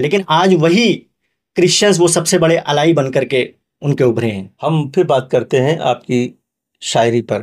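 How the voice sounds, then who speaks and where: Using an ordinary speaking voice, a man talks in a fairly high pitch with lively intonation. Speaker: journalist. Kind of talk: podcast interview host.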